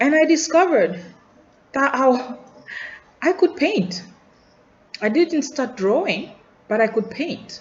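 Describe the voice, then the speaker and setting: A woman with a Tanzanian accent at a moderate pace, her pitch swinging very widely, amid noticeable background noise. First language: Nyakyusa. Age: adult. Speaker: student vlogger. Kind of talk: personal video journal. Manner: reflective, halting with repetitions.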